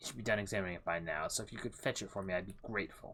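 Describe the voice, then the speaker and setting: In a put-on character voice, a man speaks at a fairly low pitch with ordinary pitch variation. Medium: game stream. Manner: courteous, gentle.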